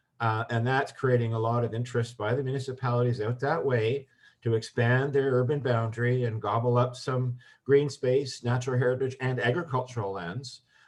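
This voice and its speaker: A man speaks at a fairly quick pace in a flat monotone. His voice is medium-pitched and somewhat breathy. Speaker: environmental advocate. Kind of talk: webinar discussion.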